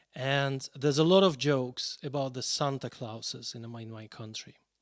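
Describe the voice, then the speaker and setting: A man with a Russian accent, fairly high in pitch, with ordinary pitch variation and a fairly slow pace. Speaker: pianist. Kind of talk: live stream introduction.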